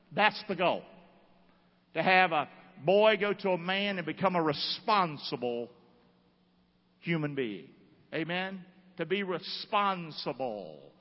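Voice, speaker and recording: Speaking fairly slowly, a man leaves long, frequent pauses. His voice is high-pitched with ordinary pitch variation. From US South, North Carolina (Rockingham). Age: 50s. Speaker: pastor. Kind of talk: sermon. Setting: church. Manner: animated.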